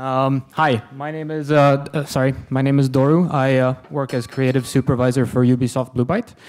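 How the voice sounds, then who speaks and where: On a very clean recording with a silent background, a man with a non-native accent talks at a medium pitch with fairly even intonation. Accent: non-German foreign. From Sweden. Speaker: game designer. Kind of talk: lecture.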